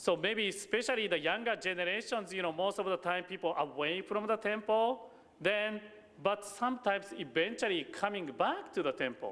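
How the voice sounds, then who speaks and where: Against noticeable background noise, the speaker talks at a moderate pace with a Japanese accent and ordinary pitch variation. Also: man, high pitch for a man. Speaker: Buddhist minister. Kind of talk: sermon. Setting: temple service. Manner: halting.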